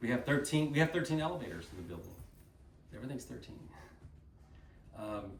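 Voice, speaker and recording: Speaking very fast with long, frequent pauses, a man with an American accent uses a medium pitch with very wide swings, big shifts in loudness, and vocal fry, all in audible room echo. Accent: slight Texan, mostly y'all. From Texas, Dallas. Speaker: company speaker at a sales event. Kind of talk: motivational talk to an audience. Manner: animated.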